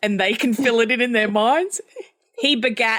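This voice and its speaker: A woman in an Australian accent speaks at a moderate pace. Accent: thick Australian. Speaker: quilter and pattern designer. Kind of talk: casual chat.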